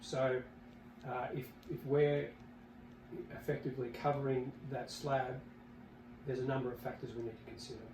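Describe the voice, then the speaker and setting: With an Australian accent, a man speaks at a moderate pace in a medium pitch and a monotone, flat intonation, leaving long, frequent pauses amid noticeable background noise and audible room echo. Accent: Australian, noticed by Americans. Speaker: company executive. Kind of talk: podcast interview. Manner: halting, many fillers and repeats.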